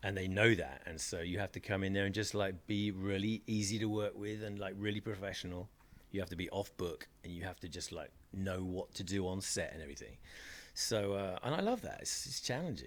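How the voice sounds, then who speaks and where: A man with a British accent speaks at a fairly quick pace in a fairly low voice. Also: ordinary pitch variation. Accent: British, kept after years in America. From England, Reading. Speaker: DJ and actor. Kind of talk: interview. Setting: studio. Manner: casual, conversational.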